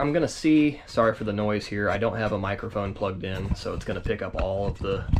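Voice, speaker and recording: Fairly quick, lively-toned speech in an American accent, with audible room echo and noticeable background noise. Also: man. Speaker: fishing YouTuber. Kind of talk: tutorial. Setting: garage. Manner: fast.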